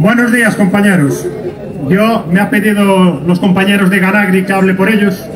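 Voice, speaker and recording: High-pitched male speech at a moderate pace, with fairly even intonation, very even loudness and noticeable background noise. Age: 40s. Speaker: farmers' association representative. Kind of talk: rally speech. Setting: outdoor public square with crowd. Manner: impassioned, loud. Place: street.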